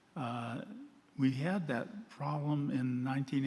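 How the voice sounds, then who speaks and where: The room echo is audible. A man talks at a medium pitch. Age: 80s+. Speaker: retired flood control engineer, public commenter. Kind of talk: public comment at board meeting.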